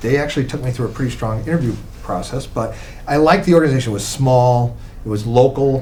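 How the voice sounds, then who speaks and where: Talking at a very fast pace, a man with a medium-pitched voice is heard over noticeable background noise and audible room echo. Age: 70s. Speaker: lawyer and charity board member. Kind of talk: casual interview.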